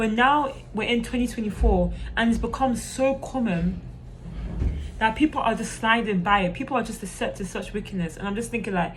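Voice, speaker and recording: Through audible room echo and noticeable background noise, a woman speaks with ordinary pitch variation. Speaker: youtube preacher. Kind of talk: informal sermon to camera. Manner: hesitant, many fillers.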